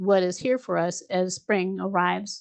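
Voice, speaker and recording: A woman is speaking. Her pace is very slow. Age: 70s. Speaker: spiritual teacher and show host. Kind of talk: casual spiritual discussion.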